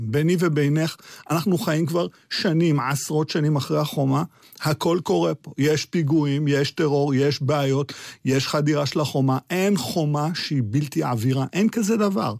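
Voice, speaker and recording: An ordinary speaking voice from a man, fairly high in pitch, with ordinary pitch variation, a moderate pace and a dry, close sound with no echo. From Israel. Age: 50s. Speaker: political science professor. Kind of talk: radio interview.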